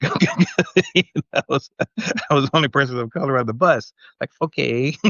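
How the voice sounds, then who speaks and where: A man's fairly high voice at a fairly slow pace, with lively intonation. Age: 60s. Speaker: podcast panelist, former military brat. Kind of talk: casual chat. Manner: halting, repeats words.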